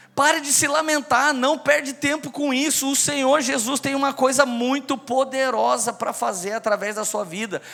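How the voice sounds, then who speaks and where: Music plays in the background as a man talks in an animated tone at a fairly slow pace. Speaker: preacher. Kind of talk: sermon.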